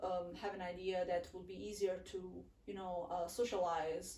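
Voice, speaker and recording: Speaking fairly slowly, a woman's voice carries audible room echo against noticeable background noise. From southern Italy, Naples. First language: Italian. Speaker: international student. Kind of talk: casual interview chat. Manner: halting, many fillers.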